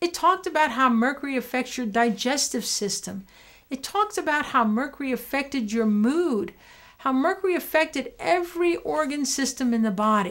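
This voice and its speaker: Her pitch is high and swings very widely as this woman speaks. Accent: New York. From New York. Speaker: dentist. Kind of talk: personal story to camera. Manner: animated.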